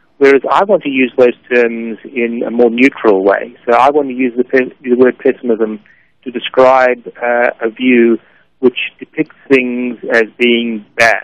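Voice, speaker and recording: An unremarkable speaking voice: a man at medium pitch, fairly even intonation, fairly slow pace, dry, close sound with no echo. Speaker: philosophy professor. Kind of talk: radio interview. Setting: phone call.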